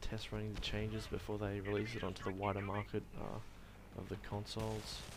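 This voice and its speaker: There is noticeable background noise. A man speaks with an Australian accent. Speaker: university student. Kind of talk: gameplay commentary. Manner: casual, hesitant.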